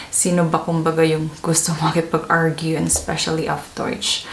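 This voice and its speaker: There is noticeable background noise in the clip. Audible room echo can be heard as well. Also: woman. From Philippines. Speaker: vlogger and nurse. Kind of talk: casual vlog storytelling. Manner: conversational, mixes English and Tagalog.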